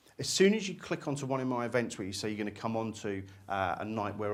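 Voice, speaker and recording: In a room with audible echo, a man speaks at a very fast pace in a fairly low pitch with ordinary pitch variation. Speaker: hypnotist and hypnosis teacher. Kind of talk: lecture.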